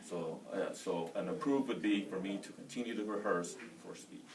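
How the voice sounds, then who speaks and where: Audible room echo and noticeable background noise accompany a man speaking with an American accent. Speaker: soldier and college student. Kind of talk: class speech. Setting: room with audience. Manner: loud; fast.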